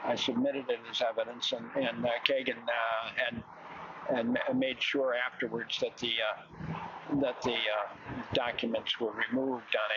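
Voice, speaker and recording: A man with an American accent at a fairly slow pace, very even in loudness, against noticeable background noise. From Illinois, Chicago area. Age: 70s. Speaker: protester. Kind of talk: interview. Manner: halting, many fillers.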